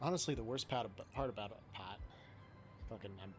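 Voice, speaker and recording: A man's fairly low voice comes through with music playing in the background. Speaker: gaming streamer. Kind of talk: live gameplay commentary. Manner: casual, swearing-laced muttering.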